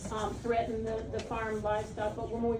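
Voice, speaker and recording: Audible room echo and noticeable background noise surround the speech. A woman talks with a fairly high pitch. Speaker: pet nutrition educator. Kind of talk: seminar talk. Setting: live seminar with audience. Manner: fast.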